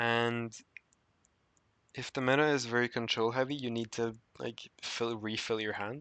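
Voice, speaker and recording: A man with a non-native accent talks at a fairly slow pace in a medium pitch, his intonation fairly even against a quiet background. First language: not English. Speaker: gaming guide creator. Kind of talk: casual gameplay guide talk. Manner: hesitant, with filler sounds.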